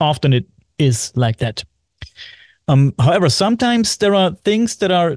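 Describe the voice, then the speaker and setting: A man speaks with a German accent at a moderate pace. The sound is dry and close, with no echo. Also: quiet background. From Germany, Bavaria. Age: 40s. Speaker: podcast host. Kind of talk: casual chat. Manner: halting.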